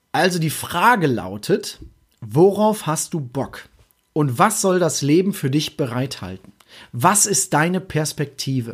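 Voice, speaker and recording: Vocal fry runs through this very slow delivery with very wide pitch swings, in a very clean recording with a silent background. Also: man, fairly high pitch for a man. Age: 20s. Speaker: podcast host. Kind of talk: solo podcast monologue.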